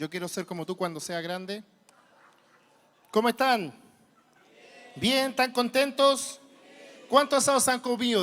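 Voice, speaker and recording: A man with a Chilean accent, extremely high pitch for a man, animated tone and lively intonation, moderate pace, long and frequent pauses. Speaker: preacher. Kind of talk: sermon.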